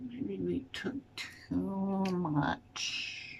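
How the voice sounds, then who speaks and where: A woman speaks in a soft-spoken way. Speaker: vlogger. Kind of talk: casual talk to camera. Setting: at home in front of a mirror. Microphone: may be too quiet.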